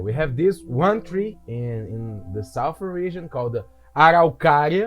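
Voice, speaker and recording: A man speaks at a fairly slow pace with a fairly high pitch and very wide pitch swings, with music playing in the background. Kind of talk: casual gameplay commentary.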